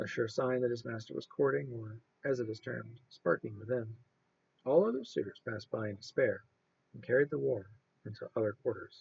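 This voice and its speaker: A soft-spoken man talks at a fairly quick pace in a calm tone. His loudness swings widely. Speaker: amateur reader. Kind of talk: read story. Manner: calm, steady, soft-spoken.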